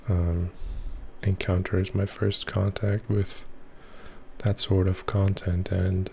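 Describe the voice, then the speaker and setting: A soft-spoken, somewhat breathy man with a very deep, low pitch, monotone, flat intonation, very even loudness, a very slow pace and long, frequent pauses. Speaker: ASMR creator. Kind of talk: voiceover recorded after filming.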